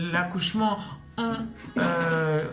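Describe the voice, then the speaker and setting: Against noticeable background noise, a woman with a fairly low pitch speaks with lively intonation. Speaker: mother, vlogger. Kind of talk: casual talk to camera.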